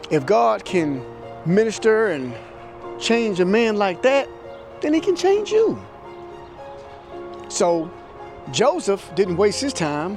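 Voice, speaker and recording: With music in the background, a man with a high pitch talks at a very slow pace, his voice making very wide pitch swings between long, frequent pauses. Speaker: preacher, church speaker. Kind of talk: sermon-style preaching to camera.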